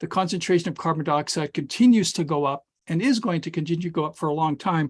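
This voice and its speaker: A high-pitched man with a Canadian Prairie accent at a fairly quick pace, against a quiet background. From Saskatchewan, Canada (Regina). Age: 60s. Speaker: climatologist and professor. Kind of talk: webinar presentation. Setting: online webinar. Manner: hesitant, with repetitions and fillers.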